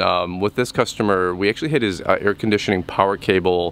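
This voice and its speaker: A man at a very fast pace, dry sound with no echo, light background noise. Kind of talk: casual vlog chat. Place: street. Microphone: phone near.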